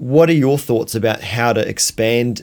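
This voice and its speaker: This is a man with a New Zealand accent. His pitch sits in the medium range. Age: 40s. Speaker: podcast host. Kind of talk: casual chat.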